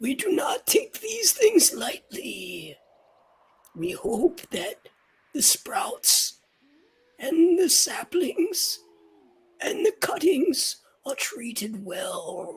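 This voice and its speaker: In a put-on character voice, the speaker talks at an extremely high, raspy pitch, very slowly and with long, frequent pauses. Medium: actual play. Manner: slow, gentle.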